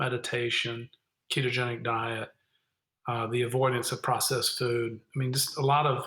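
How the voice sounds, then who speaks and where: At a moderate pace, a man talks in a plain, everyday voice. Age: 60s. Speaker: wine company founder. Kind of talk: interview conversation.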